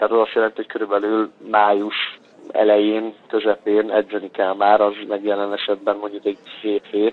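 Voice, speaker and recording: A man at a moderate pace, fairly low in pitch, with monotone, flat intonation. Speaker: professional football goalkeeper. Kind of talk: casual interview. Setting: phone call.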